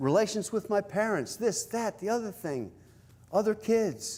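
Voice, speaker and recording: With an American accent, a man talks at a fairly slow pace in a high-pitched voice. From US South. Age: 70s. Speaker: spiritual teacher. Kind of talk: spiritual talk. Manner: halting.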